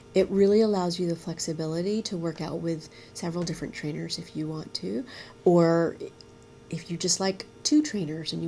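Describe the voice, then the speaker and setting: Dark and mellow in tone, a woman's somewhat breathy voice sits at a fairly low pitch. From United States (born in Vietnam). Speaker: startup founder. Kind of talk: interview. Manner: halting.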